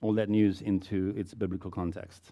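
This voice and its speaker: Against a quiet background, a man speaks at a fairly low pitch in a dark, mellow tone. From South Africa. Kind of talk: talk to a church audience. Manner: unscripted, conversational.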